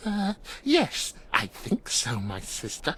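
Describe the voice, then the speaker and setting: A put-on character voice unfolds at a very slow pace over light background noise. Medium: video game. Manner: halting, giggling.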